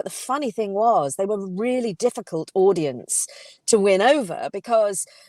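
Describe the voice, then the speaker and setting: A woman speaks in a London accent. Her pitch is medium and her pace moderate. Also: dry, close sound with no echo. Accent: southern English (London). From England (London). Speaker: communication coach and author, former actress. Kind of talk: casual interview chat.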